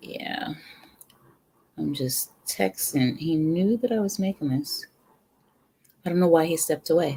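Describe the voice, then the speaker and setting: At a fairly slow pace, the speaker talks with a New York accent and takes long, frequent pauses. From New York, the Bronx. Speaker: home cooking livestreamer. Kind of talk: casual live stream chat. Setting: live stream. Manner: casual, chatty.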